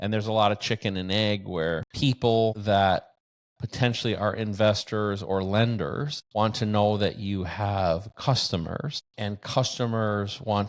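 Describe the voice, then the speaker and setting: Over a very clean recording with a silent background, a man speaks at a fairly slow pace with fairly even intonation. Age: 60s. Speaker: bitcoin mining entrepreneur. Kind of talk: interview conversation. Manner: halting, with repetitions.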